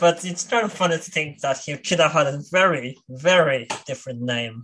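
This man's voice is fairly high in pitch, with a bright, sharp tone. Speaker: podcast host. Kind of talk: casual chat.

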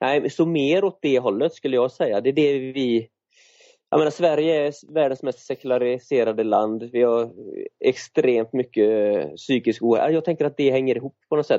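A man's voice at a medium pitch and moderate pace, with ordinary pitch variation. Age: 40s. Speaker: runner and author. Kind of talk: interview conversation. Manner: halting, with many fillers and repeats.

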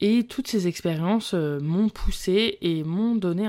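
Recorded very cleanly with a silent background, a woman speaks with a fairly low pitch and a dark, mellow tone. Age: 20s. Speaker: early childhood educator and podcast host. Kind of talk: solo podcast monologue.

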